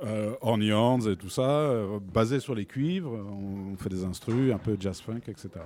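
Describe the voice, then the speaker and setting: Speaking at a very slow pace, a man uses a dark, mellow tone with ordinary pitch variation. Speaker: brass musician and singer. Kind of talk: casual interview chat. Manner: hesitant, conversational.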